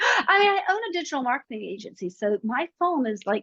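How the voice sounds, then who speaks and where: Her high voice swings very widely in pitch, with a bright, sharp tone. The woman's sound is dry and close, with no echo. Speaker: digital marketing agency owner. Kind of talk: interview. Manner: fast.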